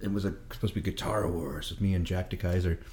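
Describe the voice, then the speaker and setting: Somewhat breathy, a man's voice moves along at a fairly quick pace. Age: 50s. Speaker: blues musician. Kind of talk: casual chat. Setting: home kitchen.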